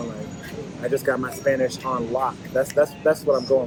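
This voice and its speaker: Intonation stays fairly even while noticeable background noise runs underneath. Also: man. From United States. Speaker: expat interviewee. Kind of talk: interview. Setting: restaurant lunch.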